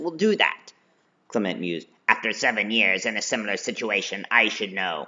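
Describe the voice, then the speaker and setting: A man puts on a character voice with a fairly low pitch. He keeps a moderate pace and ordinary pitch variation. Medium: read story. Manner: sarcastic, smug.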